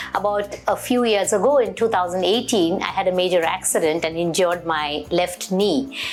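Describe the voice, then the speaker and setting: Over music in the background, a woman speaks at a medium pitch and a moderate pace, with ordinary pitch variation. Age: 60s. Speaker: patient. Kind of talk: testimony. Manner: hesitant, with fillers.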